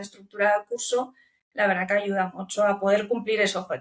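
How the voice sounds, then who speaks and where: With a Romanian accent, a woman speaks in fairly even intonation. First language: Romanian (speaking Spanish). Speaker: language student. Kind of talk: interview. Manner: hesitant, with filler repetitions.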